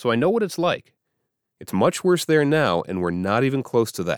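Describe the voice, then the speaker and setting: The voice swings very widely in pitch at a fairly quick pace. The recording is very clean, with a silent background and a dry, close sound with no echo. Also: man. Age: 60s. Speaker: pastor. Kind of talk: reading aloud.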